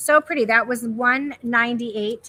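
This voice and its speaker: Loud and animated, a woman speaks at a fairly slow pace in a high pitch with a bright, sharp tone. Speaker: live sale host, home decor presenter. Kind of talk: live shopping stream. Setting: warehouse live stream.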